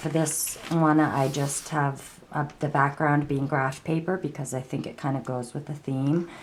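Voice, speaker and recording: Against noticeable background noise, a woman speaks at a fairly slow pace in a very deep, low pitch with monotone, flat intonation. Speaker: crafter / art tutorial maker. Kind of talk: tutorial. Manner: halting, many fillers and repetitions; casual.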